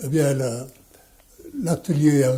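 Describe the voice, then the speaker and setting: A man's somewhat breathy voice, fairly high in pitch, with a dark, mellow tone, fairly even intonation and a very slow pace. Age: 80s+. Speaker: watchmaker. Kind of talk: interview answer.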